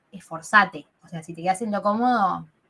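Speaking in a normal speaking voice, a woman has a fairly high pitch and lively intonation. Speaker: podcast co-host. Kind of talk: casual chat.

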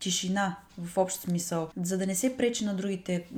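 A somewhat breathy woman's voice. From Bulgaria, Ruse. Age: 20s. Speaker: librarian. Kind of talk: interview.

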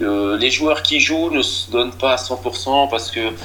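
A man's medium-pitched voice shows ordinary pitch variation, with noticeable background noise present. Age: 40s. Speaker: amateur football coach. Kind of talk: interview. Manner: halting, many repeated words.

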